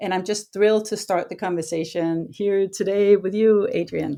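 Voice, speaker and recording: Dark, mellow tone in a Danish accent with fairly even intonation. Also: woman, very clean recording, silent background. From Denmark, Copenhagen. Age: 50s. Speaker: historian and author. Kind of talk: book discussion conversation.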